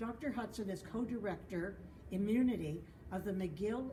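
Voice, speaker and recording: Amid noticeable background noise and audible room echo, a woman speaks at a medium pitch and moderate pace with ordinary pitch variation. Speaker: board member of patient association. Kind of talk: speaker introduction. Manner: loud.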